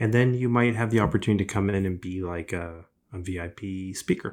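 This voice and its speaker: In a Canadian accent, a man with a normal speaking voice talks at a fairly low pitch with ordinary variation, on a very clean recording with a silent background. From Canada, Ontario (Scarborough, Toronto). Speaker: entrepreneur, business school director. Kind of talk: interview.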